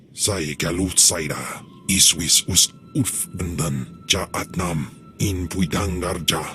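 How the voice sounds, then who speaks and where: A man's put-on character voice, very deep and low, over clear music in the background. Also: fairly slow pace. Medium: video game.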